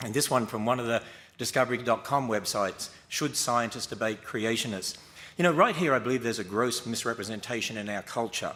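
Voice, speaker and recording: A bright, sharp tone with an Australian accent, fairly quick pace and ordinary pitch variation. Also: man, medium pitch for a man. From Australia (Queensland). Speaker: creationist debater. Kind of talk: formal debate opening statement.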